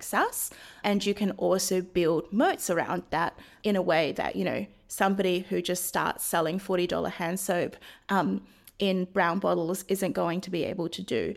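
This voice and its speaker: A woman speaks at a moderate pace with vocal fry in her voice. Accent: New Zealand. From New Zealand. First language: Chinese. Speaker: venture investor. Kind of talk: interview.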